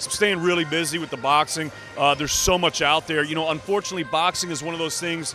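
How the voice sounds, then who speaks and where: Music plays behind a man with a fairly high voice. He talks very fast in an enthusiastic tone. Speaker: arena and boxing ring announcer. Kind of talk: casual interview answer about boxing. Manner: conversational, enthusiastic.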